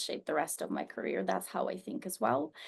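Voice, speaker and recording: A woman talks at a fairly quick pace. Her voice has vocal fry. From Estonia. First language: not English (English is third language). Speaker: stem cell scientist, professor. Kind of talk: panel discussion. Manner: frequent hesitations (um, uh).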